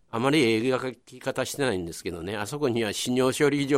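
A man with a Kobe accent at a fairly quick pace, in a very clean recording over a silent background. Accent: Kansai (Kobe) dialect. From Kobe, Nagata area. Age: 70s. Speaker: local historian. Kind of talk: radio interview.

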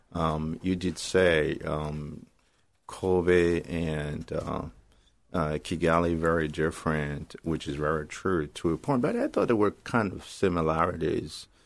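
A man's very deep, low pitch, at a fairly slow pace with fairly even intonation. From Africa. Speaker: community radio host. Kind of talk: radio interview. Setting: radio studio. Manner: hesitant with many fillers.

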